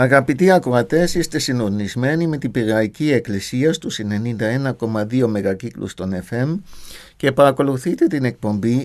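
An unremarkable speaking voice with lively intonation, at a fairly slow pace over a quiet background. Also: man. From Germany. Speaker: radio host, theologian; radio show host. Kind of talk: radio interview. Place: studio. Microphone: studio mic.

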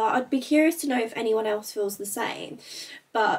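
A woman with lively intonation, at a moderate pace. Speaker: lifestyle vlogger. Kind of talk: casual vlog chat. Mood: open, a bit reflective. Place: home room. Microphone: camera far.

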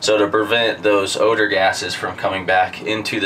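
At a fairly slow pace, a man speaks over light background noise. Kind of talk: tutorial.

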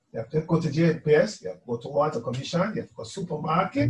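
A man talks with a fairly high pitch. Audible room echo surrounds his voice. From Jamaica. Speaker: musician. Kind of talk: testimony. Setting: video call. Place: home room.

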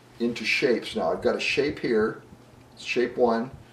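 With audible room echo, a man speaks at a fairly slow pace. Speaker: painting instructor. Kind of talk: tutorial. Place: home room.

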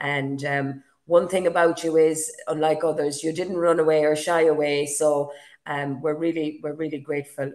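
In an Irish accent, a woman speaks with a very deep, low pitch. Her intonation is monotone and flat against a quiet background. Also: moderate pace. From Galway, Ireland. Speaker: podcast host. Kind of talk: casual chat. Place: home room. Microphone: webcam.

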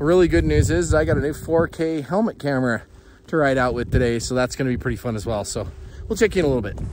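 Very fast and with very wide pitch swings, a man speaks in a dry sound with no echo amid noticeable background noise. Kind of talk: casual vlog chat. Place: open country. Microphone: phone near.

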